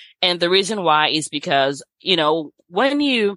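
Against a quiet background, a woman with a Nigerian accent speaks in a bright, sharp tone with lively intonation. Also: dry, close sound with no echo. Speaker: physician. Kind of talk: casual interview.

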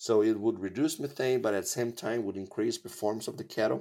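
Recorded very cleanly against a silent background, a man with a Portuguese accent speaks at a moderate pace and a fairly low pitch. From Brazil. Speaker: animal nutrition scientist. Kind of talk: interview.

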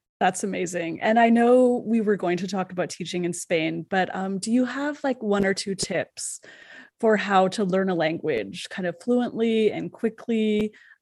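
With a Canadian accent and a plain, everyday voice, a woman of medium pitch speaks at a moderate pace with ordinary pitch variation against a quiet background. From Canada. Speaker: podcast host. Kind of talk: interview.

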